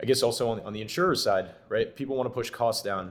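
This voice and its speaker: A man at a fairly quick pace, medium in pitch, a normal speaking voice, on a very clean recording with a silent background. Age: 20s. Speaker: tech startup founder. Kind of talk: podcast interview.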